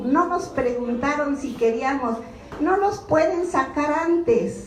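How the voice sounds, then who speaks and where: Over noticeable background noise and audible room echo, a woman speaks at a very slow pace. Her pitch is high, with ordinary variation. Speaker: social security activist. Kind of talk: informational talk to a meeting. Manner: animated.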